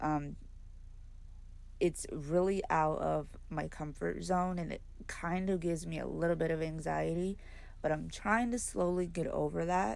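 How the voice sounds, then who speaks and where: Soft-spoken and at a fairly slow pace, a woman talks with audible room echo. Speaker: adult coloring YouTuber. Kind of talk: tutorial.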